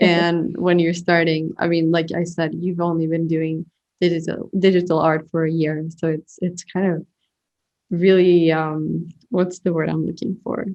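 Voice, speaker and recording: At a fairly slow pace, a woman speaks in a fairly low pitch with monotone, flat intonation. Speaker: podcast host, artist. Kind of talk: interview.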